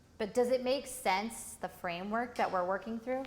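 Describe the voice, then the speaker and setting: Ordinary pitch variation from a woman, with audible room echo. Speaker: workshop instructor. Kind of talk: lecture.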